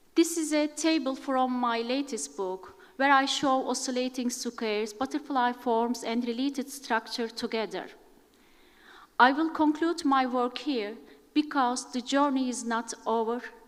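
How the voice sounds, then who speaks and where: Speaking fairly slowly in a Turkish accent, a woman keeps a high pitch with fairly even intonation. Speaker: academic presenter on geometric ornament. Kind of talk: conference talk.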